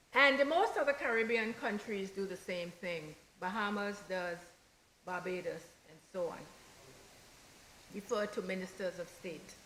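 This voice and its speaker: Amid noticeable background noise, a woman with a medium pitch and ordinary pitch variation speaks at a fairly slow pace with long, frequent pauses and big swings in loudness. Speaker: politician. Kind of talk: parliamentary debate speech. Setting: legislative chamber.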